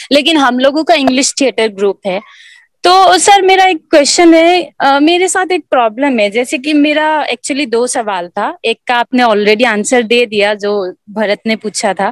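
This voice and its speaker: A high-pitched woman's voice with very wide pitch swings and hardly any pauses, recorded dry and close with no echo. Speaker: model and beginner actor. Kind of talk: question in online acting workshop.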